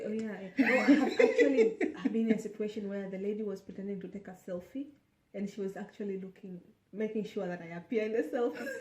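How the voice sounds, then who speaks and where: This woman talks at a very fast pace in a fairly high voice with ordinary pitch variation. Her loudness swings widely. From East Africa. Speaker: guest on a video chat. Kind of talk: casual chat.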